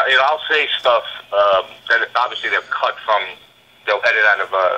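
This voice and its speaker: A man talks at a fairly quick pace in a New York accent. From New York, Brooklyn. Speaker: TV show investigator. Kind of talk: casual chat. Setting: podcast interview.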